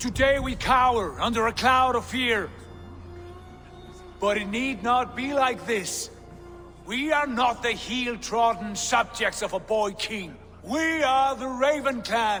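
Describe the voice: A man's put-on character voice, extremely high-pitched with a bright, sharp tone, at a slow pace over faint background music. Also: ordinary pitch variation.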